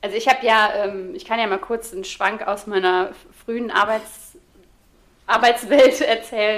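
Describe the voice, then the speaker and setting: A woman with a fairly high pitch speaks at a moderate pace, her loudness swinging widely and her pitch varying in an ordinary way, broken by long, frequent pauses. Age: 30s. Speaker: social media creator on ADHD. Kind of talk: casual chat.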